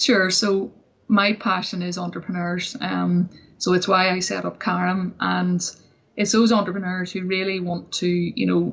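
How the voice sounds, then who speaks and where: A woman with a Northern Irish accent talks fairly slowly at a medium pitch, her intonation monotone and flat. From Northern Ireland. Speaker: entrepreneur and success coach. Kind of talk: interview.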